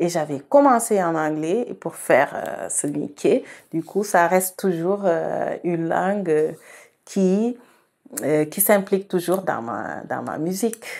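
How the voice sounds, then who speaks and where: Lively intonation at a very slow pace, on a very clean recording with a silent background. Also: woman, medium pitch for a woman. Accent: Senegalese. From Senegal, Saloum region. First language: Wolof (speaking French). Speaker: singer-songwriter. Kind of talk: interview. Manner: hesitant, with fillers and repetitions.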